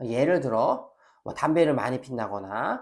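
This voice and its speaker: A man at a moderate pace in a very clean recording with a silent background. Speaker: professor. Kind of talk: lecture. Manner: energetic lecture delivery.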